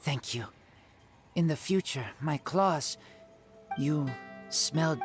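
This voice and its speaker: Someone uses a put-on character voice at a fairly slow pace. Clear music plays in the background. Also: man, fairly high pitch for a man. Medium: video game. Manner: terse, broken phrasing.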